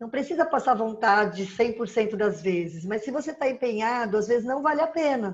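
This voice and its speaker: This woman has an unremarkable speaking voice. Her pitch sits fairly high and her pace is moderate. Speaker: nutritionist giving diet tips. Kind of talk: live-stream talk with viewer Q&A.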